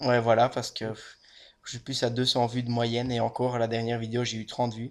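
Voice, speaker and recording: The man's intonation is monotone and flat. He moves along at a fairly quick pace. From Belgium. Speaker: gaming youtuber. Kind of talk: game commentary chat. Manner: casual, rambling with fillers.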